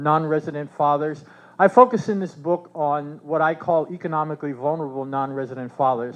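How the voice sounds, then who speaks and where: At a fairly quick pace, a man with a fairly high pitch talks with ordinary pitch variation. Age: 60s. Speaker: researcher and professor, keynote speaker. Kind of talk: conference keynote speech. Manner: halting, many fillers.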